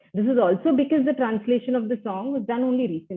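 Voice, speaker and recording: In an Indian accent, a woman speaks at a fairly quick pace with lively intonation. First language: Tulu. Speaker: academic researcher. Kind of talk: conference presentation. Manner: formal.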